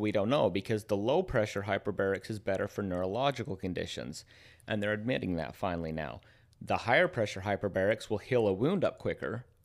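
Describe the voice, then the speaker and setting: Over a silent background in a very clean recording, a man with an American accent and an unremarkable speaking voice talks at a fairly quick pace, fairly low in pitch, with lively intonation. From United States. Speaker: health and wellness practitioner. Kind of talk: casual chat.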